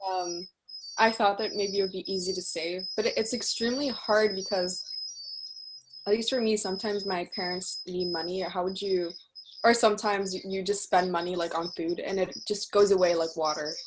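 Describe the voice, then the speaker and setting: Against noticeable background noise, a woman speaks at a fairly quick pace with fairly even intonation. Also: medium pitch for a woman. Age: 18. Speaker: student attendee. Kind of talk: audience question.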